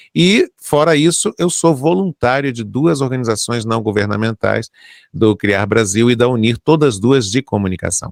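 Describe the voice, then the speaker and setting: In a very clean recording with a silent background and a dry, close sound with no echo, a man uses an ordinary speaking voice at medium pitch, speaking at a moderate pace with lively intonation. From Brazil, Rio de Janeiro. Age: 60s. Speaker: journalist and broadcaster. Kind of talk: interview.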